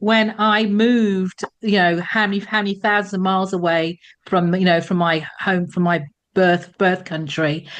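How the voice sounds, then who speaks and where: In an English accent, a woman talks at a fairly slow pace over a quiet background. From England. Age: 60s. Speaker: former telecoms executive, career coach. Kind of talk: podcast interview.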